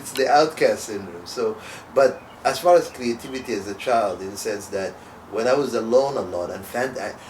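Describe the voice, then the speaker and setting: Over noticeable background noise, a man speaks at a moderate pace and medium pitch, with ordinary pitch variation and big swings in loudness. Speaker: performance poet and comedian. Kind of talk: casual conversation.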